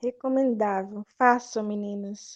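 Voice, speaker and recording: A woman speaks in a plain, everyday voice. Her pace is fairly slow and her intonation fairly even. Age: 20s. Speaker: photoshoot client. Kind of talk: casual chat.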